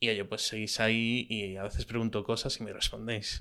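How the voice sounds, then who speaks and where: The recording is very clean, with a silent background. A man speaks at a fairly low pitch and a fairly slow pace, his intonation monotone and flat. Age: 30s. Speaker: podcaster. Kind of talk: casual monologue. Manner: hesitant, many filler sounds.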